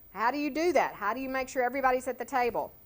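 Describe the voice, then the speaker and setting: Fairly quick in pace, a woman speaks. Her pitch is high. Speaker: education trainer. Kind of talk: training presentation. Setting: board room. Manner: fast.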